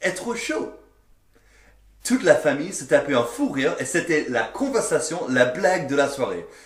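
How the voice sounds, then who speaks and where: Speaking at a moderate pace with an English accent, a man uses an animated tone and very wide pitch swings. Noticeable background noise runs behind him. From English-speaking country. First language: English (speaking French). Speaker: French learner sharing language anecdotes. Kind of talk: casual storytelling.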